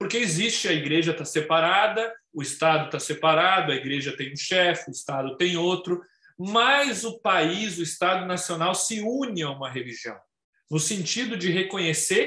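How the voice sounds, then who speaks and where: A man with a high pitch talks with lively intonation. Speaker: lawyer and webinar speaker. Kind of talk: lecture. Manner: halting.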